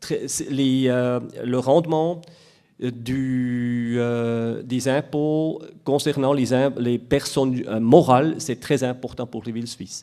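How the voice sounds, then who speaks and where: Very slow in pace, a man with a Swiss German accent speaks at a medium pitch with ordinary pitch variation and a dark, mellow tone. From Switzerland, Biel/Bienne. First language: Swiss German (speaking French). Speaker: municipal tax official. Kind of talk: conference talk. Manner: halting, many hesitations.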